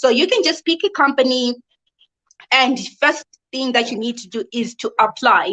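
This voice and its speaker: Woman's raised, projected voice in a Zimbabwean accent, high-pitched with a bright, sharp tone, lively intonation, big swings in loudness and long, frequent pauses. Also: moderate pace, dry, close sound with no echo. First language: not English (Zimbabwean language). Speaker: online English teacher and video host. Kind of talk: live video explainer. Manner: casual, conversational with fillers.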